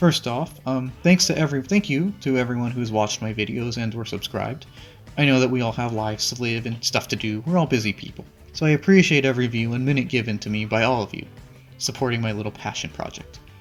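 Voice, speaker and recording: A man with lively intonation at a very fast pace, music in the background. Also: medium pitch for a man. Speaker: anime review youtuber. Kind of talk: video essay narration. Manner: hesitant with fillers.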